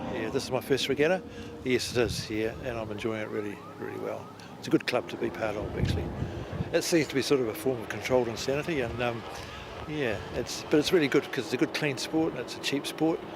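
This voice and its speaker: Over noticeable background noise, a man with a New Zealand accent talks at a very fast pace, using a medium pitch and ordinary pitch variation. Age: 60s. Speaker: amateur powerboat racer. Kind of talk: interview. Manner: halting.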